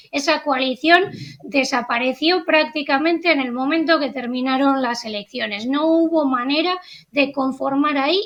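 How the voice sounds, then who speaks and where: In a European Spanish accent, a woman speaks with a high-pitched voice. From Spain. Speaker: journalist and political analyst. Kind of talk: interview analysis.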